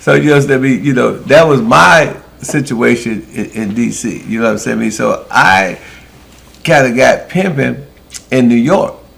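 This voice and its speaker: Against clearly audible background noise, a man delivers his words rather slowly. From US Midwest, Milwaukee. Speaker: former pimp telling life stories. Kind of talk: casual storytelling conversation.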